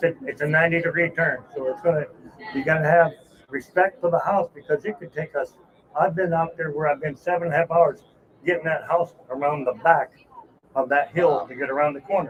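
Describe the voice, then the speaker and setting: At a fairly quick pace, a man with a fairly high pitch speaks with ordinary pitch variation over noticeable background noise. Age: 60s. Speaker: mobile home transport trucker. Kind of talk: casual interview. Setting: trade show.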